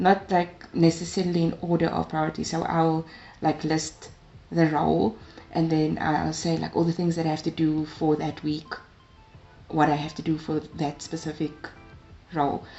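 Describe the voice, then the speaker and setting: A woman speaks at a moderate pace with a fairly low pitch, flat, monotone intonation and long, frequent pauses, over noticeable background noise. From South Africa, Cape Town. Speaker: tech community ambassador and master's student. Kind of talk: interview.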